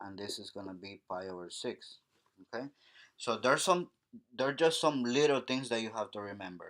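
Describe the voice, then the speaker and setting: The delivery moves at a moderate pace with ordinary pitch variation. It is a normal speaking voice. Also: man, quiet background. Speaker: math teacher. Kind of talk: tutorial.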